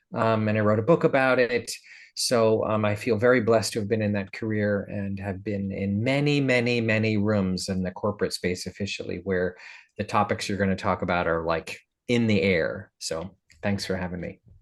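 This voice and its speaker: A man talks at a moderate pace in an unremarkable speaking voice. His pitch is fairly low, with ordinary pitch variation. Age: 60s. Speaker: leadership coach and keynote speaker. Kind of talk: podcast interview.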